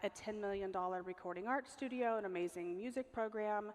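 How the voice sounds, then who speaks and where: Delivered with an American accent, the speech runs at a fairly quick pace with fairly even intonation. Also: woman. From US West Coast, Los Angeles. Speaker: guest speaker. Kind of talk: talk with slides.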